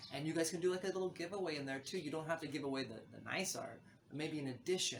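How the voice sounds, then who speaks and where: A man with a fairly high pitch talks at a very fast pace with ordinary pitch variation amid noticeable background noise. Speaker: NFT artist and vlogger. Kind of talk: casual vlog talk to camera. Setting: outdoors on a balcony.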